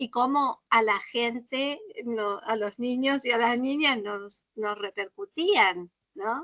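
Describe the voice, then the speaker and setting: In a dry, close sound with no echo, a woman with a high pitch and a bright, sharp tone speaks at a very slow pace with lively intonation. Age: 60s. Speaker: literature workshop teacher. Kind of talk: workshop discussion. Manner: animated.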